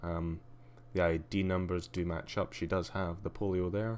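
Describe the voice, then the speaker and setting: Recorded very cleanly over a silent background, a man speaks at a moderate pace in a very deep, low voice with ordinary pitch variation. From Scotland. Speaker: game streamer. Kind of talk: live gameplay commentary. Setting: live stream. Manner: hesitant, many fillers.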